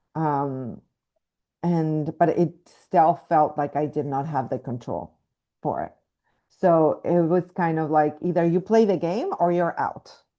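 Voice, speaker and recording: A woman's fairly low, dark, mellow voice with a slight Mexican accent, a fairly slow pace, ordinary pitch variation, and a quiet background. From Mexico. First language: Spanish. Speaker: actress. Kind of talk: interview. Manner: halting, many fillers.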